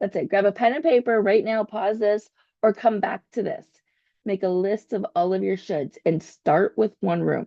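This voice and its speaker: At a moderate pace, a woman talks with a medium pitch and ordinary pitch variation. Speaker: podcast host. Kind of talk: motivational self-help podcast talk. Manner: occasional stumbles.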